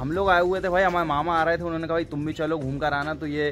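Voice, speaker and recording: A man speaks at a very fast pace with monotone, flat intonation over light background noise. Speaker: vlogger. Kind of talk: casual vlog chat. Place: open country. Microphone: phone near.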